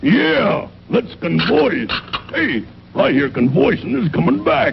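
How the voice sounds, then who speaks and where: Against clear background noise, a man does a cartoonish character voice at a fairly high pitch and a fairly slow pace. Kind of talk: comic mock-posh.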